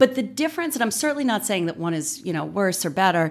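Here a woman has an ordinary speaking voice. She speaks with an American accent at a medium pitch. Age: 40s. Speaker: political science professor and author. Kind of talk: interview.

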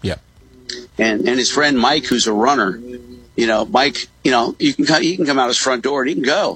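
An ordinary speaking voice from a man, medium in pitch, at a fairly quick pace with ordinary pitch variation. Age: 60s. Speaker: real estate broker and parent advocate. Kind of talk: radio interview. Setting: remote call from a coffee shop.

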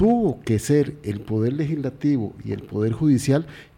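Somewhat breathy and dark, mellow in tone, a man speaks at a medium pitch and a fairly slow pace with lively intonation. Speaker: radio co-host. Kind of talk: interview. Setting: studio.

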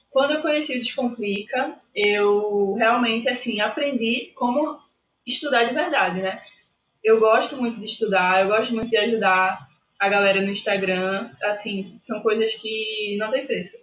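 Here is an ordinary speaking voice from a woman, fairly high in pitch with ordinary variation. She talks at a fairly slow pace. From Recife, Pernambuco, Brazil. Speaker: university student sharing exam experience. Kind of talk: casual interview.

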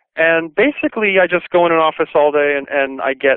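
A plain, everyday voice speaks at a moderate pace, and its pitch varies in an ordinary way. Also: man. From Brooklyn, New York. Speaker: singer and commercial composer. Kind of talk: interview. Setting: phone call.

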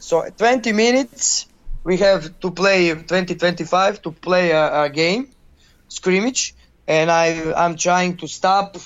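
Speaking with a Croatian accent, a man has a high pitch. He goes at a very slow pace with ordinary pitch variation. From Croatia, Zagreb. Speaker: youth football coach. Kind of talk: interview. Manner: halting.

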